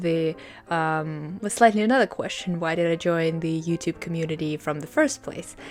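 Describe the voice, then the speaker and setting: A woman with a Russian accent speaks at a moderate pace, her fairly low pitch showing ordinary variation. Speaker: booktuber. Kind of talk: casual vlog talk. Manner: hesitant, many fillers.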